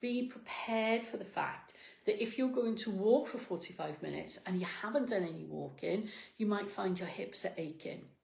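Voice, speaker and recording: A woman's animated, fairly high-pitched voice with lively intonation, audible room echo and noticeable background noise. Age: 60s. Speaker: fitness coach. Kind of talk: motivational talk. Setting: cafe.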